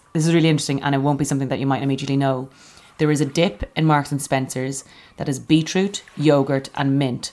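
A woman with an Irish accent speaks at a fairly quick pace. Her pitch is very deep and low, her intonation monotone and flat. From Ireland. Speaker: comedian. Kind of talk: casual chat.

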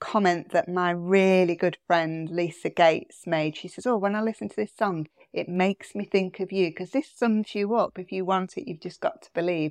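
A woman with a British accent at a moderate pace and medium pitch, fairly even intonation and hardly any pauses, in a dry, close sound with no echo and a quiet background. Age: 50s. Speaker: therapist and leadership coach. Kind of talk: casual chat.

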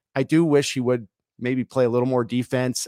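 In a very clean recording with a silent background and a dry, close sound with no echo, a man with a normal speaking voice talks at a moderate pace, medium pitch and fairly even intonation. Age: 30s. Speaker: former pro hockey player. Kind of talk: casual chat.

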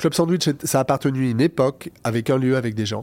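This man's voice sits at a medium pitch with ordinary pitch variation. He keeps a moderate pace. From France, Lyon. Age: 50s. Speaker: party organizer and cabaret owner. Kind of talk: interview.

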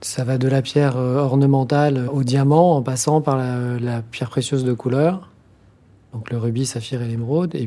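A man talks at a fairly slow pace in a dark, mellow tone. His pitch is medium and his intonation fairly even. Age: 50s. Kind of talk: interview. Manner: halting.

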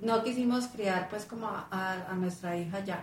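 A woman speaks with ordinary pitch variation, with audible room echo and noticeable background noise. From Colombia, Cúcuta (paisa family). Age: middle-aged. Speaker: life-purpose coach. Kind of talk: interview.

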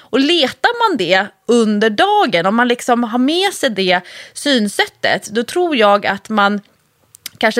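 Very slowly, a woman speaks with lively intonation. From Stockholm area (Nacka). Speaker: podcast co-host, fitness coach. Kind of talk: casual chat.

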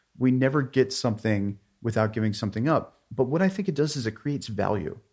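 A man with an American accent talks at a fairly quick pace, in an ordinary speaking voice at medium pitch. His pitch varies in an ordinary way, and the recording is very clean with a silent background. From US, Pittsburgh area, Pennsylvania. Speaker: artist and writer. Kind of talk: interview.

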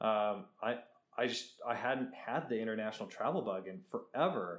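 A man talks in a normal speaking voice at a medium pitch. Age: 30s. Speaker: travel photographer. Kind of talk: casual chat.

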